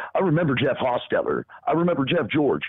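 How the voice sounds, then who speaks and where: A man talks in an animated tone. His pace is fairly quick. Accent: Southern US. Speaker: podcast co-host. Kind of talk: casual sports talk. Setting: live stream.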